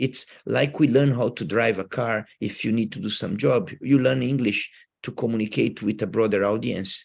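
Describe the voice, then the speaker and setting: A man's voice with vocal fry at a moderate pace, against a quiet background. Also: medium pitch for a man, ordinary pitch variation. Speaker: professor. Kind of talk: lecture Q&A. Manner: halting, with repeated words.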